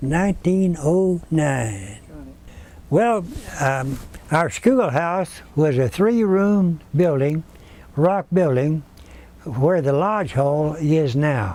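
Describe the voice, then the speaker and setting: With a Texan accent, a man speaks at a very slow pace, leaving long, frequent pauses. His fairly high voice has lively intonation and very even loudness. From Central Texas. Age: 80s+. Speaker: retired school teacher. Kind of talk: oral history interview answer.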